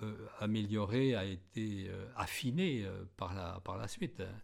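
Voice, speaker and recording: A man speaks at a very slow pace. His voice sits fairly low, with ordinary pitch variation. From France, Aube (Champagne, near Les Riceys). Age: 70s. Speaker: retired champagne winegrower. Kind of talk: oral history interview. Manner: halting, many hesitations and repetitions.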